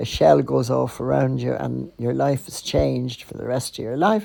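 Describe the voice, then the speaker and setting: A woman with a Dublin accent speaks at a moderate pace. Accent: Dublin Irish. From Ireland, Dublin (the Liberties). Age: 80s+. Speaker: podcaster. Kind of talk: personal storytelling. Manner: conversational.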